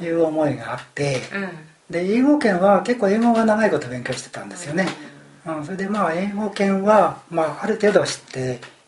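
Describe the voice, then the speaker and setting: A man with a high voice talks at a moderate pace with lively intonation and big swings in loudness, over noticeable background noise. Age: 60s. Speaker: retiree studying abroad. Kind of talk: casual chat.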